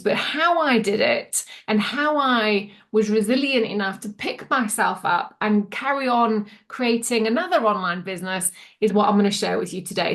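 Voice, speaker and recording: A woman's fairly high voice with ordinary pitch variation, a plain, everyday voice. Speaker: mindset and business coach. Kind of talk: casual talk to camera.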